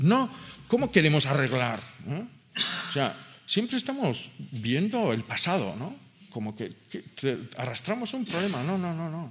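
This man's high voice swings very widely in pitch at a fairly slow pace. Long pauses come often. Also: big swings in loudness. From Basque Country, Gipuzkoa; Basque Country. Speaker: agronomist and farmer; speaker. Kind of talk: panel discussion talk. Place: meeting room. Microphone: podium.

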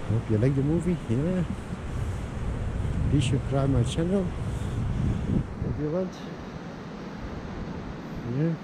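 A man's slow, lively-toned speech at a fairly high pitch, with long, frequent pauses and clear background noise.

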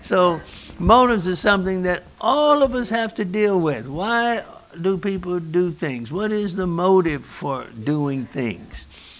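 A man's high-pitched voice at a fairly slow pace, with very wide pitch swings. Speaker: pastor. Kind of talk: sermon. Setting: church. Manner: animated. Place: church.

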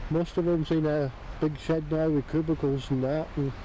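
In a West Country accent, a man speaks at a moderate pace with a fairly high pitch and monotone, flat intonation, the sound dry with no echo and light background noise. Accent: West Country (Exmoor). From Exmoor, Somerset. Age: old. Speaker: local farmer interviewee. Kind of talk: interview answer. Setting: outdoors. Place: open country.

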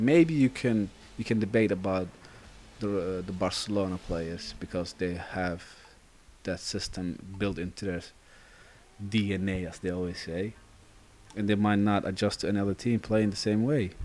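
A man with a Dutch accent, fairly low in pitch, with ordinary pitch variation and long, frequent pauses. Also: moderate pace. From Netherlands. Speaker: gaming YouTuber. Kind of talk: live gameplay commentary. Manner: casual, chatty with frequent fillers.

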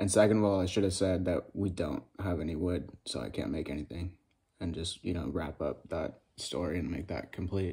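A man's very deep, low voice with vocal fry and a dark, mellow tone, at a moderate pace with ordinary pitch variation, over a quiet background. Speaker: vlogger. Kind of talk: casual vlog chat. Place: home room. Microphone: phone near.

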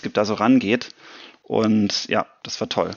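A man speaks at medium pitch. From Germany. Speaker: science fiction author. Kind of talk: interview answer. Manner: casual, enthusiastic.

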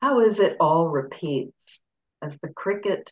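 The woman speaks at a very slow pace, her sound dry and close with no echo. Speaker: poetry reader. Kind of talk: poem reading. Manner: measured, lyrical, slow.

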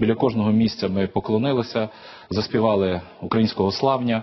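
At a fairly low pitch, a man talks at a moderate pace with fairly even intonation. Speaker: studio guest. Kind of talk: TV interview. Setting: studio. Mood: firm, serious. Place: studio. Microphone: lapel.

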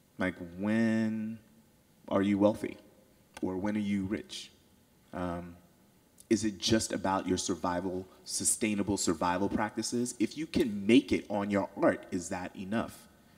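A man with a fairly low pitch speaks at a fairly slow pace, his intonation fairly even and his pauses long and frequent. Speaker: audience member, artist; audience member. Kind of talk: audience question. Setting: stage with audience. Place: hall. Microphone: handheld.

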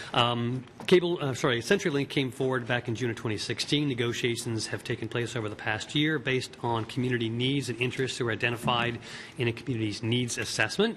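A man speaks at a very fast pace with fairly even intonation. Light background noise can be heard. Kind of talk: meeting chairing, reading briefing. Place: hall. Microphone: podium.

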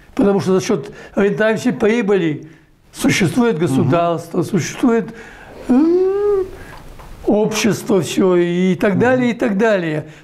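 The man's voice is high, with lively intonation. He speaks at a very slow pace, leaving long, frequent pauses. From Belarus. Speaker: economist, former central bank head. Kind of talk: interview answer. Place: home room. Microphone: lapel.

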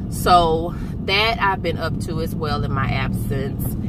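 A woman's voice comes through a dry sound with no echo. Loud background noise fills the clip. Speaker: vlogger. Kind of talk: casual vlog chat. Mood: relaxed, upbeat. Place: car. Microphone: phone near.

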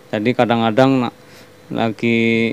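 In a dry recording with no echo, a man speaks with a Banyumasan accent. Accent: Banyumasan (ngapak) Javanese. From Banyumas, Central Java, Indonesia; Central Java, Indonesia. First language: Javanese (Banyumasan) (speaking Indonesian). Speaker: cooking channel host; channel host. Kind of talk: cooking tutorial. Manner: hesitant, many fillers. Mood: relaxed, friendly. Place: kitchen. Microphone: phone near.

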